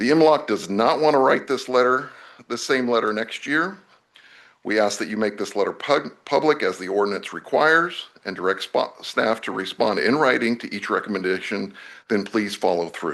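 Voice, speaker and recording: A man at a medium pitch with lively intonation, a moderate pace and a quiet background. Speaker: oversight committee member presenting to board. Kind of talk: formal public address. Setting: public meeting.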